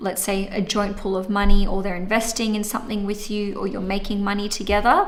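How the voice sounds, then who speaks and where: Her intonation monotone and flat, a woman speaks at medium pitch with audible room echo. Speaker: astrologer. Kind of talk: monthly horoscope livestream. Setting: livestream.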